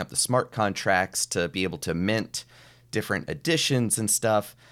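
A man talks in a normal speaking voice with a fairly low pitch and ordinary pitch variation, at a fairly slow pace. The recording is very clean, with a silent background. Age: 30s. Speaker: mentalist and entrepreneur. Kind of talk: casual interview.

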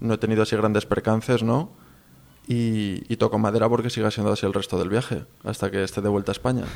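At a very fast pace, a man with a Castilian accent speaks in a medium pitch with fairly even intonation. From Spain. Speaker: long-distance walker. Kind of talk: interview.

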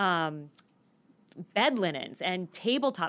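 A woman with an American accent talks in a fairly low voice. The recording is very clean, with a silent background. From US Southwest, Phoenix. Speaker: adventurer and leadership lecturer. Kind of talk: interview.

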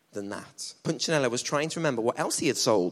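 Lively intonation in plain reading aloud

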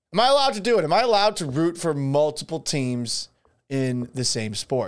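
At a moderate pace, a man with a fairly high pitch makes very wide pitch swings on a very clean recording with a silent background. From Boston area, South Shore. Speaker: sports radio host. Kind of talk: casual solo livestream podcast. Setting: home studio.

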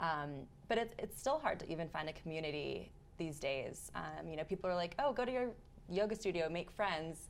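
Vocal fry runs through this woman's fairly low voice. She talks at a fairly quick pace with lively intonation. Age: 30s. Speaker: freelance journalist. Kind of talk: casual chat.

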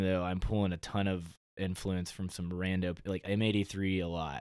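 This man has a very deep, low pitch and an American accent. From Dallas, Texas. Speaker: EDM music producer. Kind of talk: casual chat.

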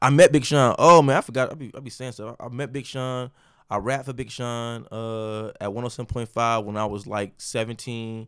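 In a very clean recording with a silent background, a man with an American accent speaks at a moderate pace and medium pitch in an ordinary speaking voice, his intonation fairly even but his loudness swinging widely. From Chicago, later Detroit area. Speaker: rapper. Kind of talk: casual chat.

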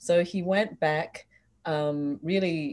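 A woman with an Australian accent. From Australia, Sydney. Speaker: expat resident of Hong Kong. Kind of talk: casual chat.

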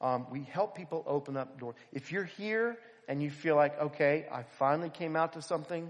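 A man with an American accent speaks at a moderate pace, with fairly high pitch and lively intonation. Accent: Philadelphia, slight Southern. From Philadelphia. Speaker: preacher. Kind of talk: sermon. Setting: church.

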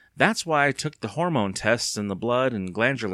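Lively intonation in an unforced reading voice.

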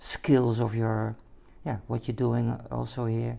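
A man with a Dutch accent speaks at a fairly slow pace. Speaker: podcast host. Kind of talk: interview. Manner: halting.

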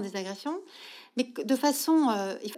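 A woman's high voice with very wide pitch swings, at a very slow pace, in a very clean recording with a silent background. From Belgium, Brussels. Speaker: social entrepreneur. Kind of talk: interview conversation.

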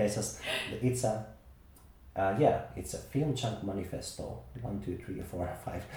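With audible room echo, a man in a Finnish accent speaks at a fairly low pitch and a fairly slow pace. His pitch varies in an ordinary way, and he takes long, frequent pauses. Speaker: podcast host. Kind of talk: casual chat.

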